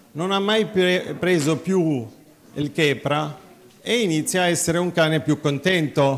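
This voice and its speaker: Fairly slow, fairly high male speech, its pitch varying in an ordinary way. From Nazareth; Israel. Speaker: physician, cardiologist and veterinarian; conference speaker. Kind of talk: conference talk. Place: hall.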